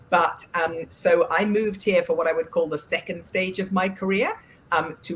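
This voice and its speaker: A woman with an English accent speaks at a moderate pace in a fairly low pitch, her intonation fairly even. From England. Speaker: board director and financial services advisor. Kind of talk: interview. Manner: halting, many filler words.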